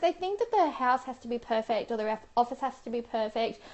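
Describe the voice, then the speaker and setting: With an Australian accent, a woman talks at a fairly quick pace in an animated tone with lively intonation. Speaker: professional organiser and lifestyle vlogger. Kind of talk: live stream talk to viewers. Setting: live Periscope broadcast. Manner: chatty, animated.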